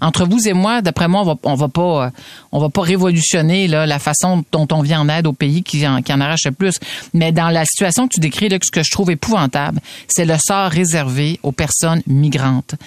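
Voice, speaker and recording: A woman speaks at a moderate pace in a very deep, low pitch with ordinary pitch variation. Her loudness is very even, and the sound is dry and close with no echo. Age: 50s. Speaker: radio host. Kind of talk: radio commentary.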